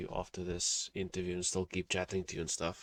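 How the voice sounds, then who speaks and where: A man speaks at a fairly quick pace with a non-native accent. His pitch is very deep and low. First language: not English. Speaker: interviewer. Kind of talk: interview. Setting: call.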